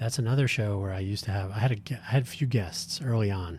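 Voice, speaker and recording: In a very clean recording with a silent background, a somewhat breathy voice moves at a fairly quick pace with ordinary pitch variation. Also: man. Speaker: podcast host. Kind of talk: solo podcast monologue. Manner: rambling, self-correcting.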